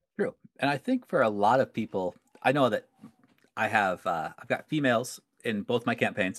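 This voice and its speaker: A man with a medium-pitched voice speaks at a moderate pace, with ordinary pitch variation. Long, frequent pauses break up his speech, and the sound is dry and close with no echo. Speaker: podcast host, game master. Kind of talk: casual chat.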